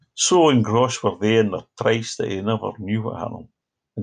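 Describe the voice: Against a quiet background, the text is read aloud plainly with fairly even intonation.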